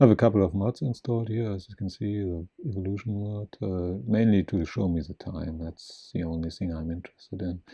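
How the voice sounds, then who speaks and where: A man's very deep, low voice with a non-native accent and ordinary pitch variation. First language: not English. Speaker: gaming video creator. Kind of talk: gameplay commentary. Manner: halting.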